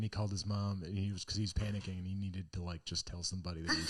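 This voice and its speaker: Breathy and fairly low in pitch, a man talks at a very fast pace. The background is quiet. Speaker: stand-up comedian. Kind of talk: casual chat. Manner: animated.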